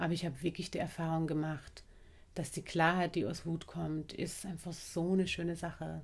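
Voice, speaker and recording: A woman speaks at a moderate pace with fairly low pitch. Her delivery is somewhat breathy in a monotone, flat intonation. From Austria, Vienna. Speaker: anti-racism trainer and bodyworker. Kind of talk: casual interview conversation.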